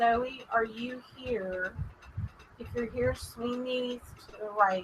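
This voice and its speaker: A woman with a strong Texas accent talks at a very slow pace and a fairly high pitch. Her intonation stays fairly even, while her loudness swings widely. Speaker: paranormal show host. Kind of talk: live stream chat with spirit communication session. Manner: careful enunciation.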